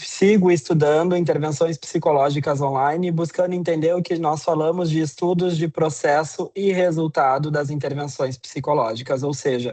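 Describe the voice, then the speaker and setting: A man with a Brazilian accent, a fairly high pitch and a dark, mellow tone, fairly even intonation and hardly any pauses. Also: moderate pace. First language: Portuguese (speaking Spanish). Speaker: psychology professor. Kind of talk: lecture.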